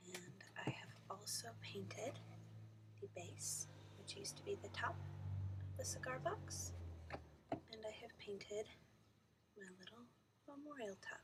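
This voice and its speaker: Soft-spoken, a woman talks at a fairly slow pace with long, frequent pauses. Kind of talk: soft-spoken ASMR craft tutorial. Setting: home, near a microphone, dogs barking outside. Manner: soft-spoken, slow.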